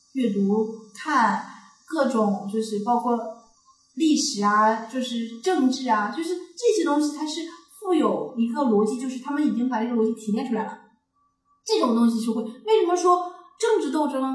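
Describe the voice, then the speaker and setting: Audible room echo carries a high-pitched woman with a strong Northeastern Chinese accent, whose lively intonation breaks into long, frequent pauses. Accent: Northeastern Mandarin, strong. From Northeast China. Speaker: podcast co-host. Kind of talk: casual chat.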